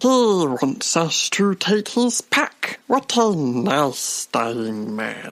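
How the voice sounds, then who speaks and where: Someone uses a put-on character voice at a middle pitch. It moves at a very slow pace with very wide pitch swings. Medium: audio drama. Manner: confident, lecturing, mispronounces words.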